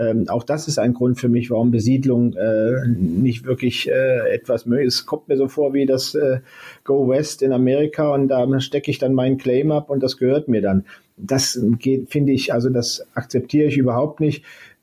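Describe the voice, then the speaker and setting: A man talks at a moderate pace and a medium pitch. His loudness stays very even, and his intonation is fairly even too. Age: 60s. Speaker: space agency head, former university president. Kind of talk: interview. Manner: hesitant, many filler sounds.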